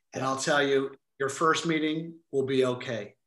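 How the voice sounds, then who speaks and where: The speaker has a Canadian accent and a bright, sharp tone. The pace is fairly slow. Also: man. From Quebec, Montreal. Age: 50s. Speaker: author and estate planning speaker. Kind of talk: webinar interview.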